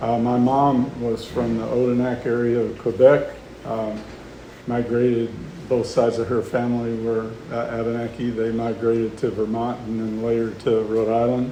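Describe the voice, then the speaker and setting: A man with an American accent speaks in a monotone, flat intonation. Noticeable background noise and audible room echo are in the recording. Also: medium pitch for a man, moderate pace. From Oklahoma. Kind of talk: public talk. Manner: hesitant, many fillers.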